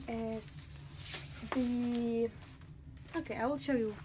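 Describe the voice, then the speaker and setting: Against noticeable background noise, a woman with a high pitch and ordinary pitch variation speaks at a very slow pace with long, frequent pauses. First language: not English. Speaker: artist. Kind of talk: casual talk to camera. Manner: talkative.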